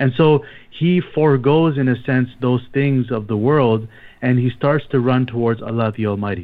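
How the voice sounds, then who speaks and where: A man with a plain, everyday voice, medium pitch, ordinary pitch variation, very even loudness and a moderate pace. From Canada, Toronto. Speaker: imam and missionary. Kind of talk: religious talk on radio. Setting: phone line.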